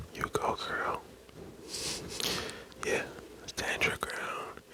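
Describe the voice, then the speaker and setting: A fairly slow whisper against noticeable background noise. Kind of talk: casual chatty commentary on a story.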